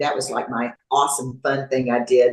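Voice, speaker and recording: A woman speaks with a Texan accent. Her pace is moderate. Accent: Texan American English. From Texas, Houston. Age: 70s. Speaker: fitness competitor. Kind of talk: interview. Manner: halting, many fillers.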